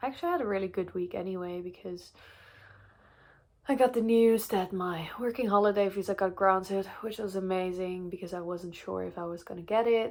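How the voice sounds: A woman's medium-pitched voice with a slightly mellow tone, ordinary pitch variation and a moderate pace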